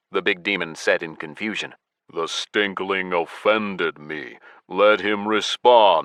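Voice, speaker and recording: Here a man does a put-on character voice. It sits fairly low in pitch and moves at a fairly slow pace. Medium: read story. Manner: slow, heavy.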